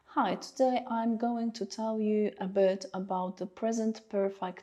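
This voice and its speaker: A woman speaks at a very slow pace with a Polish accent. Her pitch is fairly high and her intonation fairly even. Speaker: English teacher. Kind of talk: tutorial. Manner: hesitant, many fillers.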